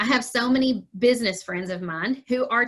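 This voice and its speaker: A woman speaks with fairly even intonation in a Kentucky accent. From Kentucky, Murray. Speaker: small business owner. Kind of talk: interview. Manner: casual, chatty.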